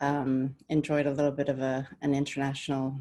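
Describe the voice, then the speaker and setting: At a moderate pace, a woman speaks in a very deep, low pitch. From Denmark/Sweden, childhood partly in the US. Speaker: business development director. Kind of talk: panel discussion. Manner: hesitant, many fillers.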